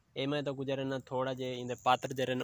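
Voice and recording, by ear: A man speaks at a fairly quick pace in a medium-pitched voice, his tone clear and smooth yet also bright and sharp.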